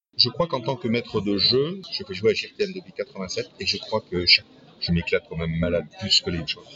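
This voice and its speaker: A man at a medium pitch with very wide pitch swings, a moderate pace and noticeable background noise. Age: 60s. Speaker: retiree, role-playing club founder and game master. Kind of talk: casual interview.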